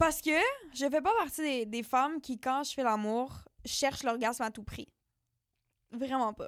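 A woman speaks with a high pitch and ordinary pitch variation. Her pace is fairly slow, broken by long, frequent pauses. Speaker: podcast co-host. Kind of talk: casual chat.

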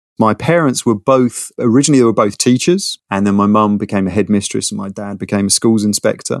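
With a London accent, a man talks at a fairly quick pace with hardly any pauses, a fairly low pitch and ordinary pitch variation, in a very clean recording with a silent background and a dry, close sound with no echo. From London, North London. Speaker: product designer. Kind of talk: casual interview. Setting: internet call.

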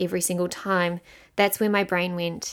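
A woman with a New Zealand accent and a medium pitch, on a very clean recording against a silent background. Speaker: podcast host and mindset coach. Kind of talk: solo podcast monologue. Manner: casual, conversational.

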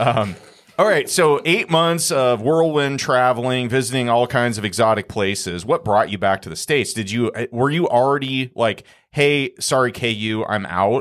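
A man with an American accent and an ordinary speaking voice talks at a moderate pace and medium pitch, his intonation lively, on a very clean recording with a silent background. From small town in Iowa. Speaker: real estate podcast co-host. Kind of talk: casual interview. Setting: studio.

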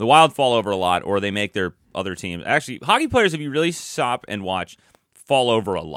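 Recorded very cleanly with a silent background and a dry, close sound with no echo, a man with a fairly low pitch talks at a fairly quick pace through very wide pitch swings. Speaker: podcast co-host, hockey analyst. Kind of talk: casual chat. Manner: fast talker.

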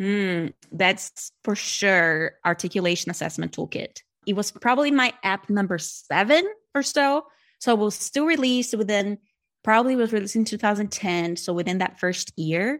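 With a Brazilian accent and lively intonation, a woman speaks at a moderate pace in a very clean recording with a silent background, the sound dry and close with no echo. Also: medium pitch for a woman. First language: Portuguese. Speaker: speech-language pathologist and therapy app creator. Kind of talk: podcast interview.

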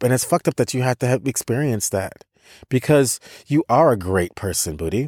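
With a normal speaking voice and an American accent, a man talks at a fairly quick pace with lively intonation and medium pitch, on a very clean recording with a silent background and a dry, close sound with no echo. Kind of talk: casual conversation.

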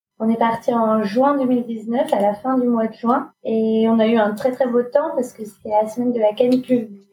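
A woman's fairly high-pitched voice, dark and mellow in tone, with monotone, flat intonation at a moderate pace. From Normandy, France. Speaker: refugee protection worker and bike traveller. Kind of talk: casual interview.

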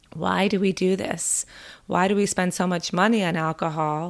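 On a very clean recording with a silent background, a woman speaks at a moderate pace in an ordinary speaking voice, fairly low-pitched with fairly even intonation. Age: 50s. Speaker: mental health counselor and podcast host. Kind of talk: solo podcast monologue.

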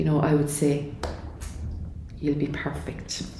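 There is audible room echo and noticeable background noise as a woman speaks in a very deep, low pitch. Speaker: cancer charity speaker. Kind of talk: interview. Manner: animated.

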